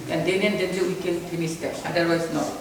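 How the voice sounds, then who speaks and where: The recording of this woman carries noticeable background noise and audible room echo. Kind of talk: lecture.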